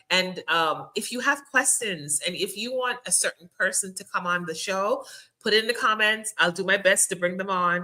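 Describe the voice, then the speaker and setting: A woman speaks at a medium pitch with a bright, sharp tone. Her pace is moderate and her pitch variation ordinary. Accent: Jamaican. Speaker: podcast host. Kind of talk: casual interview chat. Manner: animated.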